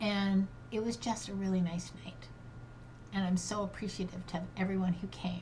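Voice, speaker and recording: A woman talks at a moderate pace and medium pitch with fairly even intonation. Noticeable background noise runs beneath her. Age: 60s. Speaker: grief coach. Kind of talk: personal monologue podcast. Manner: halting.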